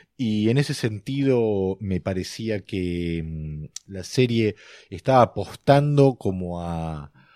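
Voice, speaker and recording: A man with a fairly low pitch and a dark, mellow tone speaks at a very slow pace with lively intonation and big swings in loudness, on a very clean, dry, close recording with no echo and a silent background. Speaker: screenwriter podcast co-host. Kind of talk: casual film analysis chat.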